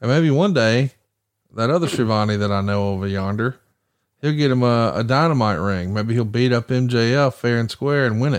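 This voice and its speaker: With a Southern US accent, a man speaks at a moderate pace and medium pitch, with ordinary pitch variation and very even loudness, against a quiet background. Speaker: podcast host. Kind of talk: casual chat.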